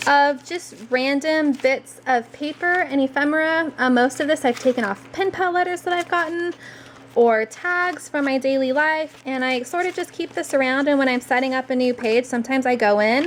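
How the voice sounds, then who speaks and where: A high-pitched woman talks at a moderate pace with ordinary pitch variation against noticeable background noise. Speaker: journaling crafts vlogger. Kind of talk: tutorial. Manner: casual, with many fillers.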